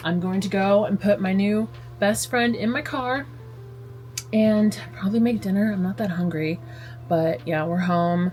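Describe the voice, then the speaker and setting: Noticeable background noise sits behind a woman speaking at a fairly slow pace. Her medium-pitched voice has lively intonation and long, frequent pauses. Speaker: lifestyle vlogger. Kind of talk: casual vlog talk. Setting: in bed at home. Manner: chatty, filler-heavy.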